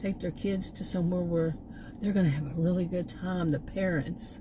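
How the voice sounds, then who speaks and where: This speaker has an American accent and moves at a fairly quick pace. The intonation is fairly even. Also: woman. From Texas. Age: 60s. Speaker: vlogger, former college teacher. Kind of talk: casual vlog monologue. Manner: halting, many fillers and restarts.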